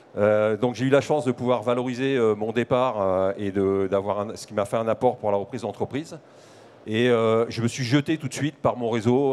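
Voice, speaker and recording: A man talks at a fairly quick pace, his medium pitch moving with ordinary variation. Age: 50s. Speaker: business owner. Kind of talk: panel interview. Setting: trade fair set. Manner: hesitant fillers.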